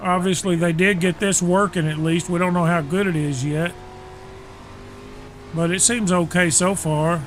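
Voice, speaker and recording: A high-pitched man speaks with fairly even intonation and very even loudness. Long, frequent pauses break up his speech over noticeable background noise. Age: old. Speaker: sim racer. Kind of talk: casual livestream commentary while gaming. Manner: plain, unhurried straight talk.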